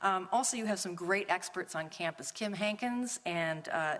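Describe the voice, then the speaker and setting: This is a woman with a normal speaking voice at medium pitch. Her pitch variation is ordinary. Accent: American. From Minnesota. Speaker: policy researcher and speaker. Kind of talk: lecture.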